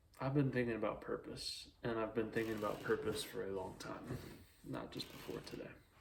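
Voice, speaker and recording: Speaking at a fairly quick pace, a man is heard with noticeable background noise and audible room echo. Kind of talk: casual monologue.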